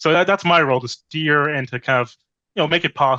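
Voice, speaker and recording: A man with an American accent at a fairly quick pace, bright and sharp in tone, in a dry, close sound with no echo. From Boston, Massachusetts. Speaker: game project manager. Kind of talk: interview. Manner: halting, filler-heavy.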